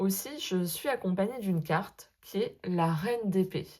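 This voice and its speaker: Her voice is fairly low for a woman, somewhat breathy and dark and mellow in tone, moving at a very slow pace with ordinary pitch variation on a very clean recording with a silent background. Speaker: sophrologist and tarot content creator. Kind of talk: casual vlog monologue. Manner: hesitant, many fillers.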